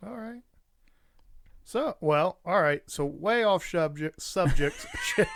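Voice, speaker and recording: Speaking at a very slow pace with long, frequent pauses, a man uses a high pitch, lively intonation and big swings in loudness. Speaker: podcast co-host. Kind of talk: casual chat. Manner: slurred speech.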